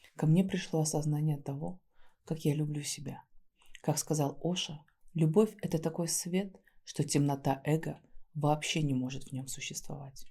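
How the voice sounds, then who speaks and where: At a moderate pace and with long, frequent pauses, a soft-spoken woman speaks in a very deep, low pitch, her dark, mellow, gentle tone somewhat breathy and her intonation fairly even. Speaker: ASMR creator and neuro-body therapist. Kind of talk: soft reflective talk to camera. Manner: soft-spoken, gentle.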